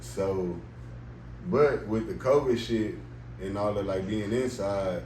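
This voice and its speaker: Somewhat breathy and dark, mellow in tone, a man with a fairly low pitch speaks at a fairly slow pace amid audible room echo. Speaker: rapper. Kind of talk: casual interview.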